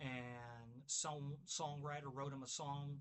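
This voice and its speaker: In a Kentucky accent, a man speaks with monotone, flat intonation at a fairly high pitch. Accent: Kentucky twang. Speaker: music video creator, record reviewer. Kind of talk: casual vinyl review video. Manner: halting, self-correcting when reading titles.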